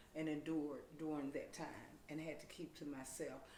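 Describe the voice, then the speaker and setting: Her pitch is very deep and low for a woman. She speaks at a moderate pace with audible room echo. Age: 50s. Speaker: domestic violence advocate. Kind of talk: interview.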